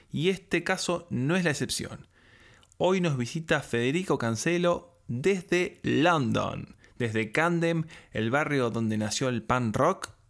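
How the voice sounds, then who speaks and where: On a very clean recording with a silent background, a man with a fairly high pitch and lively intonation speaks at a very slow pace. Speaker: podcast host. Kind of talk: interview.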